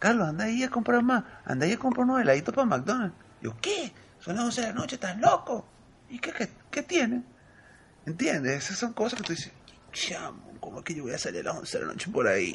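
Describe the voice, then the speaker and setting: At a fairly quick pace, a man with an extremely high pitch speaks with very wide pitch swings. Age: 30s. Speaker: Venezuelan emigrant. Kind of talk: casual chat.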